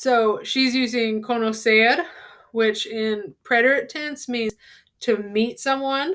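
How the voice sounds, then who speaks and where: Fairly high in pitch, a woman with an unremarkable speaking voice talks with ordinary pitch variation. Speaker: Spanish teacher. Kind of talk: tutorial.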